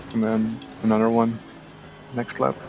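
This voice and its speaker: A man speaks in a Belgian accent. Music plays in the background. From Belgium. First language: Dutch. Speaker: sim racing streamer. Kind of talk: casual chat during live racing stream.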